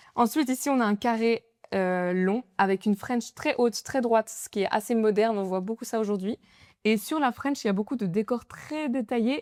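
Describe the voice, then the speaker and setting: In a very clean recording with a silent background and a dry, close sound with no echo, a woman with an ordinary speaking voice talks at a moderate pace, her fairly high pitch showing ordinary variation. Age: 20s. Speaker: nail artist. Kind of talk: casual podcast interview.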